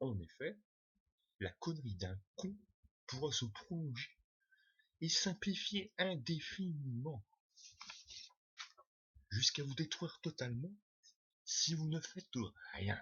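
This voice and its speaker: Very slow speech comes from a man with a fairly high pitch. His pitch swings very widely. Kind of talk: first read-through of a text, rehearsal.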